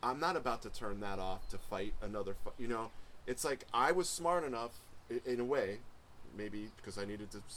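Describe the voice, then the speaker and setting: Lively intonation marks this man's fairly quick speech. Noticeable background noise is present. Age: 40s. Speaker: music producer and podcast host. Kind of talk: casual chat.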